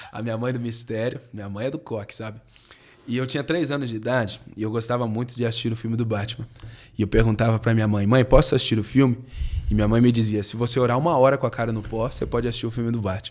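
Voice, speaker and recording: Very rapid speech from a man, medium in pitch, its intonation fairly level. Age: 20s. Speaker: pastor and worship musician. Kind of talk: podcast interview.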